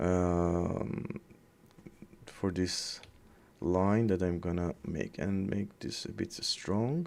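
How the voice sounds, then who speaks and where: A very slow delivery in a non-native accent, with ordinary pitch variation and long, frequent pauses. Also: man, very deep, low pitch for a man. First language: not English. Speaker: 3D artist. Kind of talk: tutorial. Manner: halting; casual.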